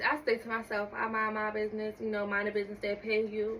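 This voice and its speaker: Over noticeable background noise, a woman with a fairly high pitch talks at a moderate pace in a flat, monotone way. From US Northeast, North Philadelphia. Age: 20s. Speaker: small business owner. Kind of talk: casual podcast interview.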